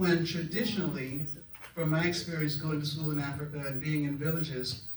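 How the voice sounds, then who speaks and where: Against noticeable background noise and audible room echo, a man with an American accent talks at a fairly quick pace, with fairly high pitch and fairly even intonation. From US South (Florida, Raleigh, North Carolina). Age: 80s+. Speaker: retired clinician, psychotherapist. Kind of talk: audience comment at a discussion event. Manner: halting, with fillers.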